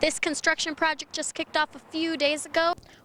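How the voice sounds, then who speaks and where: Noticeable background noise surrounds a woman with a high pitch. She talks at a fairly quick pace. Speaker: TV news reporter. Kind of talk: TV news report.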